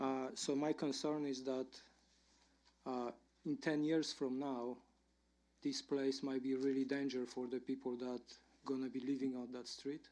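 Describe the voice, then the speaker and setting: A man with a non-native accent speaks at a medium pitch in a dark, mellow tone with monotone, flat intonation. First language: not English. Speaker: resident speaking at hearing. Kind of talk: public comment.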